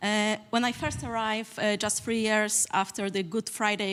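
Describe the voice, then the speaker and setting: A woman speaks with a Polish accent at a moderate pace and fairly high pitch. The recording is very clean, with a silent background. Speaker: community worker. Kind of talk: panel talk.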